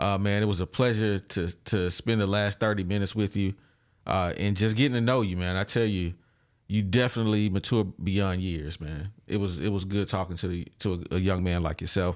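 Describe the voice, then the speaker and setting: A man with an ordinary speaking voice, fairly low in pitch, at a fairly quick pace with fairly even intonation, in a very clean recording with a silent background. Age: 40s. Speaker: podcast host. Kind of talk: interview. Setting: studio.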